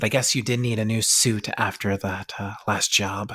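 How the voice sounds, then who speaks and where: Using a put-on character voice, a man talks at a moderate pace with fairly low pitch, on a very clean recording with a silent background. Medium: actual play. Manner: terse, guarded.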